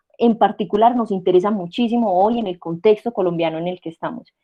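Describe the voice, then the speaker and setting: A woman in a normal speaking voice speaks at medium pitch and a fairly quick pace, with ordinary pitch variation and big swings in loudness. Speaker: university lecturer. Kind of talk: online lecture.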